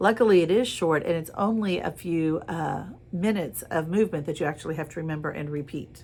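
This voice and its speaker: A plain, everyday voice from a woman, fairly low in pitch, with ordinary pitch variation and a moderate pace, in a very clean recording with a silent background. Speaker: drama teacher. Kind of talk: lecture.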